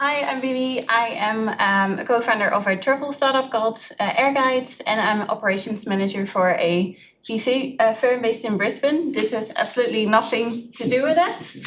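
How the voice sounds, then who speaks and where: A woman's fairly high voice with a Dutch accent, at a moderate pace with ordinary pitch variation. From Netherlands. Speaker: startup co-founder and operations manager. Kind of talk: show and tell demo. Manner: casual, hesitant with fillers.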